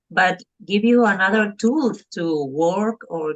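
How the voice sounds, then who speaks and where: A woman with a Spanish accent, lively in intonation, at a fairly slow pace. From Argentina. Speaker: parent coach. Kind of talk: podcast interview. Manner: halting, with fillers.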